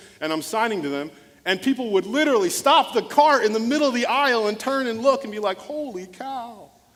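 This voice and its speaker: A man with an extremely high pitch, lively intonation and a fairly quick pace, over noticeable background noise. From US small town, Nigerian immigrant parents. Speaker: motivational speaker and former pastor. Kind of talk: keynote speech with storytelling.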